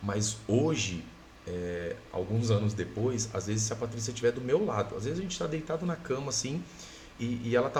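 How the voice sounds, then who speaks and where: A man talks at a fairly quick pace in a medium pitch, with lively intonation. Noticeable background noise and audible room echo fill the recording. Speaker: guest sharing illness testimony. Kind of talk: testimony. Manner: loud.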